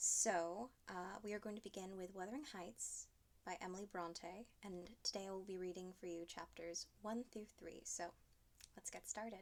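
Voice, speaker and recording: Here a woman has an ordinary speaking voice, medium in pitch, with fairly even intonation at a moderate pace. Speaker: theatre performer. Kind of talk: casual introduction to listeners.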